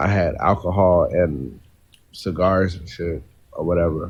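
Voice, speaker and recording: Very slowly and with vocal fry, a man speaks in a very deep, low pitch with fairly even intonation. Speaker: poet and author. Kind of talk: casual chat. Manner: rambling, talkative.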